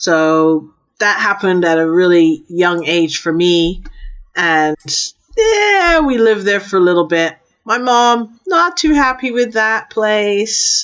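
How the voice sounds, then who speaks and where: Speaking at a very slow pace, a woman with an American accent keeps a medium pitch and very even loudness. Her pitch swings very widely. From born in London, raised largely in US. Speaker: strategic intelligence advisor. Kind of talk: interview conversation.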